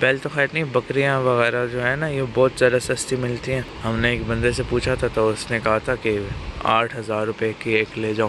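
Over noticeable background noise, a man speaks at a fairly slow pace with monotone, flat intonation, and the sound is dry with no echo. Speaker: travel vlogger. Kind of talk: casual vlog chat. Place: open country. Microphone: phone near.

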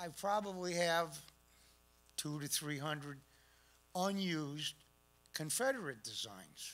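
A man with an American accent talks at a very slow pace in a fairly high pitch, with lively intonation and long, frequent pauses. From Connecticut, Hartford; Connecticut. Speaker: collector presenting a talk; guest. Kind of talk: presentation. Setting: stage with audience. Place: hall. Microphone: podium.

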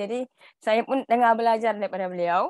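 A woman speaks with ordinary pitch variation against a quiet background. The sound is dry, with no echo. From Tawau, Sabah; Sabah. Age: young. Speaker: direct-selling agency manager; guest. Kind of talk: presentation. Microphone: earbuds.

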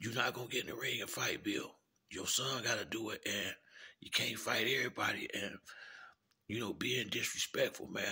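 A man whispers at a moderate pace. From US Midwest, Chicago. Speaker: YouTube commentator. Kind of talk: casual monologue rant. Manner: halting, repetitive. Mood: disapproving, earnest. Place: home room. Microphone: phone near.

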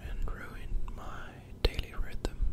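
A man's whisper at a very slow pace. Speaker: student. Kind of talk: ASMR whisper video talking to audience. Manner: whispered, soft-spoken.

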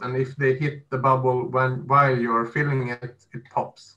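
A man talks with little pitch movement. His tone is bright and sharp.

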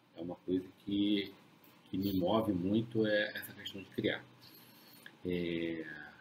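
Over light background noise, a man with a fairly low pitch talks at a very slow pace, using monotone, flat intonation and long, frequent pauses. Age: 40s. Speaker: dog breeder. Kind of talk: casual live stream chat. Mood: calm, reflective. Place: home room. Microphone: webcam.

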